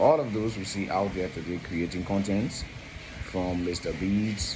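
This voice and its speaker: At a moderate pace and fairly low pitch, a man speaks with fairly even intonation, audible room echo, and noticeable background noise. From Liberia. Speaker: consultant and video presenter. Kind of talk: informal educational talk.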